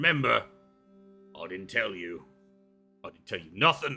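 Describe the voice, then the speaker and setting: A man's raspy, put-on character voice at medium pitch, with faint music in the background. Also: moderate pace. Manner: furtive, conspiratorial.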